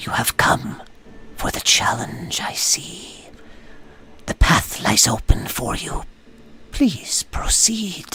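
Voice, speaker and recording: Someone whispers in a put-on character voice at a very slow pace, with long, frequent pauses. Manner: whispering.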